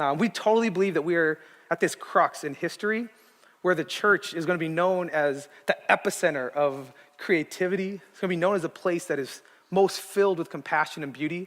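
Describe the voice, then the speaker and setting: A man talks at a high pitch and a fairly quick pace. His pitch varies in an ordinary way, while his loudness swings a lot. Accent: West Coast US. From Arizona, Tucson. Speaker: guest preacher. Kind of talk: sermon. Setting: church stage with audience. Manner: casual, with many filler words.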